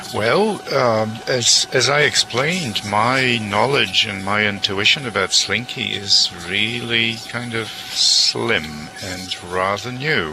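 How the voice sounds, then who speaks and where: A man at a medium pitch with lively intonation, a very slow pace and hardly any pauses, against noticeable background noise. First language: not English. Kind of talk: group discussion. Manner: halting.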